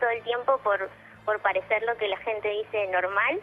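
Moderate pace from a woman, with noticeable background noise. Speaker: caller. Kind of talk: phone-in call.

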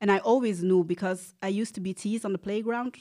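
On a very clean recording with a silent background, the speech comes at a fairly quick pace with a Flemish accent and ordinary pitch variation. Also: woman. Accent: Flemish-Belgian English. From Belgium (Antwerp area, Flanders). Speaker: transracial adoptee. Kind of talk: casual conversational interview.

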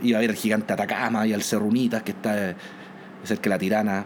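In a Chilean accent, a man talks at a very fast pace. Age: 40s. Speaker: airline captain and former air force pilot. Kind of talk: interview storytelling.

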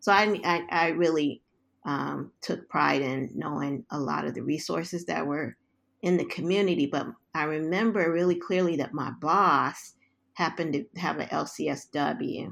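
In an American accent, a woman with a very deep, low pitch and vocal fry speaks at a moderate pace with ordinary pitch variation, on a very clean recording with a silent background. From US West Coast, South Central Los Angeles. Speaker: social worker and psychotherapy researcher. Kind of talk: interview.

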